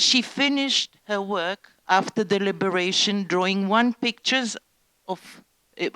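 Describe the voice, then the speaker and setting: A woman speaking at a very slow pace in an Israeli accent, medium pitch with ordinary pitch variation, in a dry, close sound with no echo. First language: Hebrew. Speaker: Holocaust survivor's daughter giving testimony. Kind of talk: talk to school students. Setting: education centre with students. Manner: halting.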